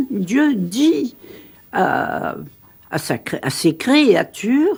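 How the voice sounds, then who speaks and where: A woman speaks at a very slow pace, with vocal fry. Her pitch swings very widely. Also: fairly high pitch for a woman. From Sicily. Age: 70s. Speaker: religious convert and author. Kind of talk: radio interview. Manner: halting.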